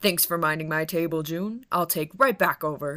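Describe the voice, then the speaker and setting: A put-on character voice at a middle pitch and a moderate pace. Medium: read story.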